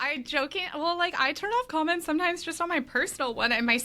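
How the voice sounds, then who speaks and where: Raising and projecting her high voice, a woman talks at a very fast pace. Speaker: tennis gear play-tester and content creator. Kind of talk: casual chat. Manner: scattered, all over the place.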